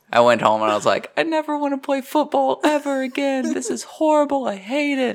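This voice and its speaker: A man talking at a fairly quick pace over noticeable background noise. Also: hardly any pauses. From Tennessee (Kingsport, East Tennessee). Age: young. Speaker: stand-up comedian. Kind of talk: casual chat.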